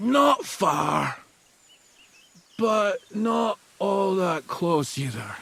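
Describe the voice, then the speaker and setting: A man does a put-on character voice with a high pitch. He talks at a very slow pace, with long, frequent pauses. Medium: video game. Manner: crude, boisterous.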